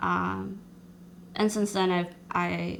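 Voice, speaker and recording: A woman's voice comes through with audible echo from the room. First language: not English. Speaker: social worker and poet. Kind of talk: interview. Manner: halting.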